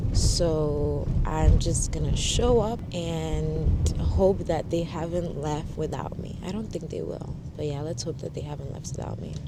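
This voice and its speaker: A woman with an American accent at a fairly slow pace, hardly any pauses and big swings in loudness, with audible room echo and noticeable background noise. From Ghana, Accra. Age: 20s. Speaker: lifestyle vlogger and model. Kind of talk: interview self-introduction; casual vlog talk. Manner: casual, chatty.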